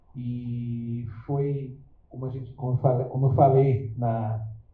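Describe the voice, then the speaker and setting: A man's somewhat breathy, medium-pitched voice at a very slow pace, monotone and flat, with audible room echo. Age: 60s. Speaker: magazine editor. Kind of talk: live interview. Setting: stage with audience.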